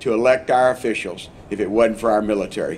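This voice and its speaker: This man speaks at a moderate pace with an American accent. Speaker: congressman. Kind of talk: public speech at ceremony.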